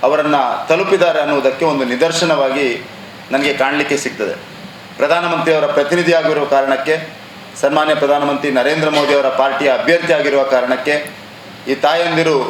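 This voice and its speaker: The man's voice is fairly high in pitch, with monotone, flat intonation. Audible room echo and noticeable background noise are present. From Dakshina Kannada, coastal Karnataka (Tulu Nadu). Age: young. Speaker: parliamentary candidate, former army officer. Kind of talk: press conference statement. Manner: formal.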